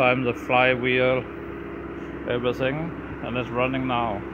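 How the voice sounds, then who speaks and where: Loud background noise behind a man at a moderate pace. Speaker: tractor mechanic. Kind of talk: casual walk-around commentary. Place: garage. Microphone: phone near.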